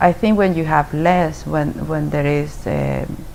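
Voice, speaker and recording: A woman speaks at a fairly slow pace in a very deep, low voice, her intonation fairly even. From Chile. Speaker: immigrant interviewee. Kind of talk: interview. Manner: halting.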